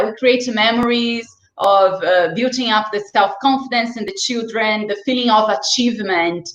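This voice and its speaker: At a moderate pace, a woman with a non-native accent speaks at a fairly high pitch. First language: not English. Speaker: children's sports and swimming instructor. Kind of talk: interview. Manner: animated.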